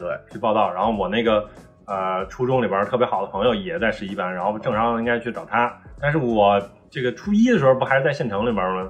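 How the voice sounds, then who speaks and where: With music playing in the background, a man at medium pitch talks at a very fast pace. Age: 30s. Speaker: podcast co-host. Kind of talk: casual chat.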